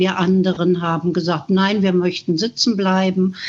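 A woman talks at a medium pitch. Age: 70s. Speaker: climate activist. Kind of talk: testimony.

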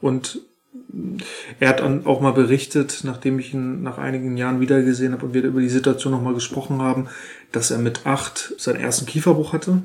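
Fairly quick and fairly even in intonation, a man speaks at a medium pitch. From northern Germany, Schleswig-Holstein. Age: 30s. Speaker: childcare worker. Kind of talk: interview. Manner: halting, many fillers.

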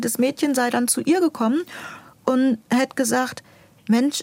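With a dry, close sound and no echo, a woman speaks at a moderate pace in a high pitch with ordinary pitch variation. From northern Germany (Buxtehude near Hamburg). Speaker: school administrator and author. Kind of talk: interview.

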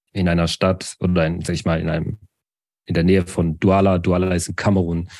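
A man with a very deep, low pitch talks at a fairly quick pace in a monotone, flat intonation against a quiet background. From Baden-Württemberg, village near Sinsheim. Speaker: IT consultant and social media educator. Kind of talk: casual interview. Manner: halting.

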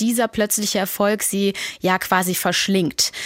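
In a dry, close sound with no echo, a woman speaks at medium pitch with fairly even intonation in a plain, everyday voice. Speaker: music editor. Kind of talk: casual chat.

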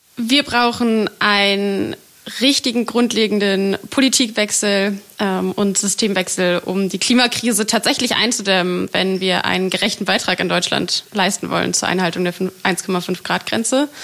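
A woman at a medium pitch and a fairly slow pace, with very even loudness, ordinary pitch variation and noticeable background noise. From Germany, Berlin. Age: 20s. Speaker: climate activist. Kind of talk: interview.

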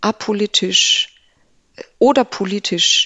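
The woman's intonation is lively. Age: 40s. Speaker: classical contemporary singer. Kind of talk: interview. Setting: studio. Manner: animated.

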